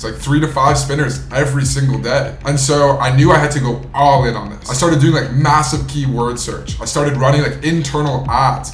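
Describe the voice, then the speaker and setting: A man with an American accent talks at a fairly quick pace with hardly any pauses. His intonation is monotone and flat, and there is noticeable background noise. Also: fairly high pitch for a man. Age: 20s. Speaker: entrepreneur. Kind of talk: personal story monologue. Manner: casual.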